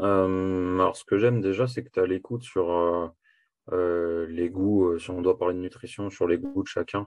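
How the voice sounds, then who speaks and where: A man's very deep, low voice, monotone and flat, at a fairly slow pace over a quiet background, dry and close with no echo. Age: 20s. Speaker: coaching client giving a testimonial. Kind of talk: testimony. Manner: halting.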